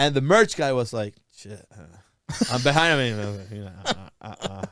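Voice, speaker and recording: A man with a Spanish accent speaks at a medium pitch in a very clean recording with a silent background. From Venezuela. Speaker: stand-up comedian. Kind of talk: casual chat. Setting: studio. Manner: halting.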